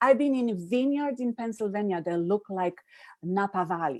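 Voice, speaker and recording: A woman with a Polish accent at a moderate pace, lively intonation, in a dry, close sound with no echo. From Poland. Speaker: happiness coach, summit presenter. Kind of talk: live-stream interview.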